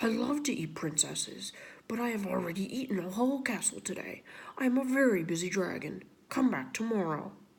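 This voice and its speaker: Using a put-on character voice, a female-sounding speaker talks at a fairly quick pace with a medium pitch for a woman. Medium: read story. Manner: brusque, self-important.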